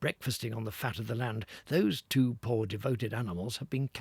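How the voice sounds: With fairly even intonation, the voice reads aloud naturally.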